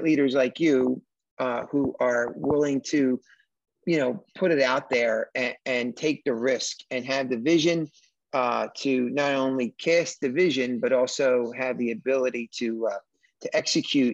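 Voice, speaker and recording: This is an ordinary speaking voice from a man. His pitch sits in the middle and varies in an ordinary way. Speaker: podcast host. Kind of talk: interview on business podcast.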